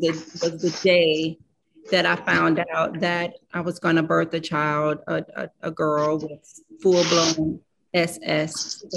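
Her fairly low voice flat and monotone, a woman talks at a very slow pace. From US Midwest, St. Louis. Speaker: sickle cell advocate, mother. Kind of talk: personal testimony. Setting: video call.

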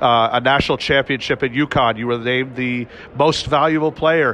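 A man's speech, moderate in pace and ordinary in pitch variation, comes with noticeable background noise. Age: 30s. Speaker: sports podcast interviewer. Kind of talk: red carpet interviews. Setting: event venue with crowd.

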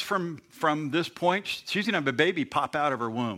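A man with a normal speaking voice talks at a fairly slow pace in a fairly high pitch, recorded very cleanly against a silent background. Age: 50s. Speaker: pastor. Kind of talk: sermon. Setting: church.

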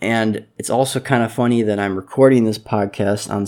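On a very clean recording with a silent background, a man speaks at medium pitch and a fairly quick pace, with ordinary pitch variation and a dark, mellow tone. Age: 20s. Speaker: podcast host. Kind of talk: casual monologue. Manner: hesitant, filler-heavy.

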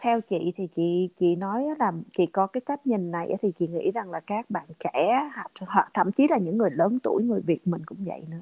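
A woman's medium-pitched voice at a moderate pace, with lively intonation, a dark, mellow tone and a dry, close sound with no echo. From Vietnam. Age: 40s. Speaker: podcast guest. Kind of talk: casual interview chat.

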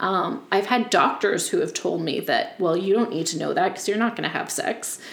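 A woman speaks fairly quickly while background noise remains noticeable. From Nova Scotia, Yarmouth County. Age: 30s. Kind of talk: casual interview. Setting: in person on a couch.

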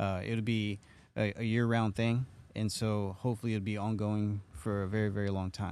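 On a very clean recording with a silent background, a man speaks at a moderate pace with a fairly low pitch, monotone, flat intonation, and very even loudness. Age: 30s. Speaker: podcast host. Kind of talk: casual interview. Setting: studio. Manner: halting, many fillers.

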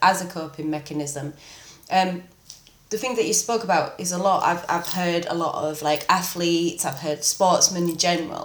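A woman with a British accent, fairly low pitch, fairly even intonation and a fairly quick pace, over noticeable background noise. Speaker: podcast host. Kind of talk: casual interview chat.

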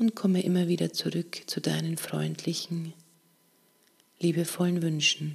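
The speaker uses a soothing, warm tone at a fairly slow pace, with long, frequent pauses. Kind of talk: guided meditation. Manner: slow, calm, gentle, with long pauses between short phrases; soothing, soft-spoken, warm and unhurried.

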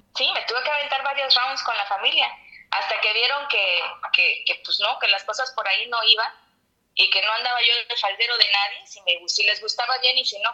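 A woman with a plain, everyday voice talks at a moderate speed, her fairly high pitch showing ordinary pitch variation. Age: 30s. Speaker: podcast guest. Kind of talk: casual chat.

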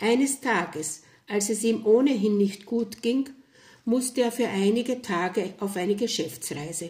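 A woman with a fairly high pitch and ordinary pitch variation speaks at a very slow pace in a calm, dark, mellow tone that is somewhat breathy. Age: 70s. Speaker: storyteller. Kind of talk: testimony. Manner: calm, reflective.

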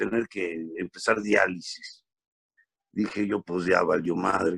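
Very slowly, a man speaks with a dry, close sound and no echo. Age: 50s. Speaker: comedian. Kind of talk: casual chat.

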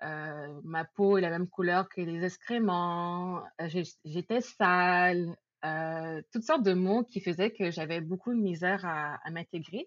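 Very slowly, a woman with a fairly low pitch speaks with fairly even intonation. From Quebec, Laval (Montreal area). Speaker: podcast guest. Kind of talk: casual chat.

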